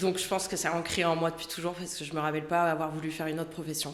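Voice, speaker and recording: Very fast, flat monotone speech with a slight southern French accent and audible room echo. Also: woman. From southern France. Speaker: lawyer. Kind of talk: podcast interview.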